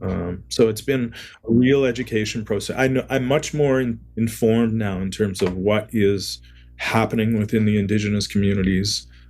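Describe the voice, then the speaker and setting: At a moderate pace, a man with a fairly low pitch and fairly even intonation speaks over music in the background. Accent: Canadian. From Canada, Ontario (Niagara-on-the-Lake). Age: 60s. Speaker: record label owner. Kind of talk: interview podcast.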